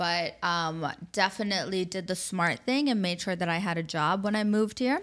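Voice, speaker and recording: Someone with a New York accent talks at a moderate pace with ordinary pitch variation and very even loudness on a very clean recording with a silent background. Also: woman, medium pitch for a woman. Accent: New York American. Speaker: matchmaker, agency founder. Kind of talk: interview conversation. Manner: animated.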